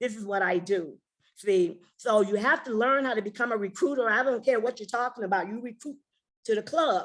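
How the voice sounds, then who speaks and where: A woman talks in an animated tone at a fairly quick pace. Her fairly high pitch moves with ordinary variation. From US Midwest, Chicago. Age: 60s. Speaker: network marketing leader. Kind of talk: motivational training talk.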